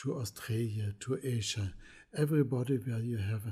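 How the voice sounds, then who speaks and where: A somewhat breathy man at a fairly slow pace, dark and mellow in tone. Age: 70s. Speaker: pigment maker. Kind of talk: lecture.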